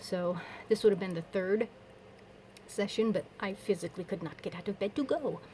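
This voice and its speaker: A woman talks with a medium pitch and fairly even intonation. Her voice is somewhat breathy. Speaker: vlogger. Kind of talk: casual personal vlog update. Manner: fast; rambling, with false starts.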